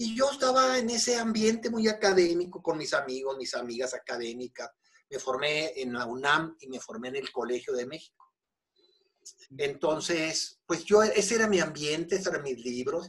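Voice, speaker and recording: In a Mexican accent, a fairly high-pitched man talks with very wide pitch swings and big swings in loudness. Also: moderate pace. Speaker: Buddhism teacher. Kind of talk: interview.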